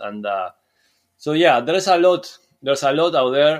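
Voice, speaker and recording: A man speaks with a Spanish accent and lively intonation. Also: very clean recording, silent background. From Uruguay. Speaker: surf skate coach. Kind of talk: casual interview.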